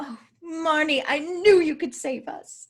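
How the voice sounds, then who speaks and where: A female-sounding voice performs a put-on character with a high pitch. The pace is fairly slow. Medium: comedy sketch.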